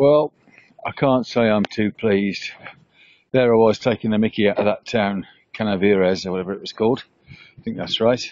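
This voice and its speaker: A man with a medium pitch and fairly even intonation talks at a fairly quick pace, with big swings in loudness and long, frequent pauses. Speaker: travel vlogger. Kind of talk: travel vlog narration. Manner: casual, halting with fillers; soft-spoken.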